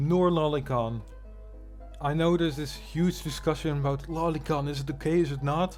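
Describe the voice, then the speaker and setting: Music plays in the background as a man with a fairly high pitch speaks at a moderate pace with fairly even intonation and long, frequent pauses. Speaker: drama commentary YouTuber. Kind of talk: casual commentary reacting to online drama.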